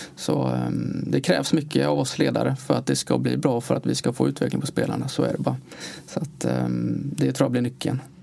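A man talks at a fairly quick pace while noticeable background noise carries on behind him. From Uddevalla area, Bohuslän, western Sweden. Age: 30s. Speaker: ice hockey sports director. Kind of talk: interview.

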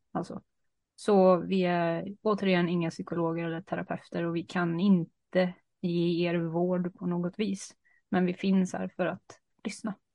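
A woman talks at a fairly low pitch and a fairly slow pace. Her intonation stays flat and monotone. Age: 30s. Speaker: podcast co-host. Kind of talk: casual chat. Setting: video call.

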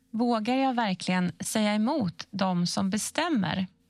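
At a very slow pace, a woman speaks with a fairly high pitch and lively intonation. Her voice is somewhat breathy, and the sound is dry and close with no echo. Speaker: questioner in information series. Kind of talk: scripted explainer dialogue.

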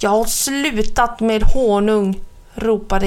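The words are read out. It is a natural reading voice.

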